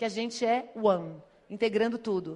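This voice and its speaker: A woman's fairly high voice with an animated tone. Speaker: speaker on digital marketing. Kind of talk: conference talk. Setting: stage with audience. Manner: fast.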